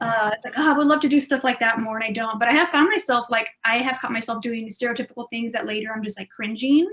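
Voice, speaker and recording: A woman's high-pitched, very fast speech in a South Texas accent, with hardly any pauses and ordinary pitch variation. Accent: South Texas Mexican-American English. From Texas, Rio Grande Valley. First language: Spanish / Spanglish. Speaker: improv performer. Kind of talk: panel discussion. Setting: video call.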